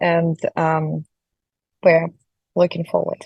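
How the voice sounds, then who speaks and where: In a Ukrainian accent, a woman speaks at a moderate pace, somewhat breathy, with a dark, mellow tone in a dry, close sound with no echo. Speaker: panel moderator. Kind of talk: conference moderation. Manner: hesitant, many fillers.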